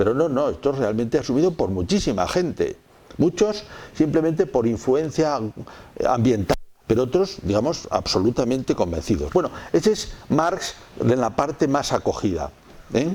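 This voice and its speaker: A man with a fairly high pitch and a dark, mellow tone uses very wide pitch swings and vocal fry while keeping his loudness very even. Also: moderate pace. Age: 60s. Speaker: theology lecturer. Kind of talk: lecture.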